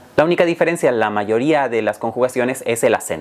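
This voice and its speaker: A man with a medium pitch and lively intonation speaks through noticeable background noise. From Canary Islands. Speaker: Spanish teacher. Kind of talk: educational talk. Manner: clear, measured.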